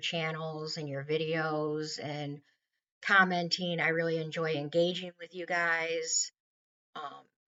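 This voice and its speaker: This woman has an American accent and a fairly low pitch. She speaks at a very slow pace with fairly even intonation. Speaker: weight loss vlogger. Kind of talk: casual vlog monologue.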